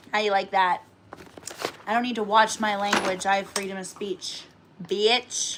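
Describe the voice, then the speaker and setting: The tone is animated. Noticeable background noise sits behind the voice. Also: woman. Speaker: cooking livestreamer. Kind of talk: casual livestream chat. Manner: loud.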